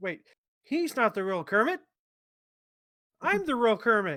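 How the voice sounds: Here is a put-on character voice pitched fairly high, swinging very widely up and down. It moves along at a moderate pace.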